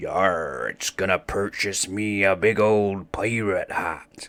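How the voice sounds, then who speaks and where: A man puts on a character voice, growling and raspy at a fairly low pitch. He speaks very slowly. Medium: read story. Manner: pirate growl, arr-speak.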